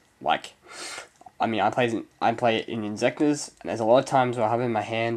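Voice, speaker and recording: This man's intonation stays monotone and flat. His pitch is medium. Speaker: card game YouTuber. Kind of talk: casual review. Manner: hesitant, many fillers.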